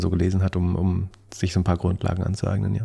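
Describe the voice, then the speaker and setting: Talking at a fairly quick pace, the man has a very deep, low pitch. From East Germany. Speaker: tech and stock podcaster, business consultant. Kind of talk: interview. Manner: halting, many fillers.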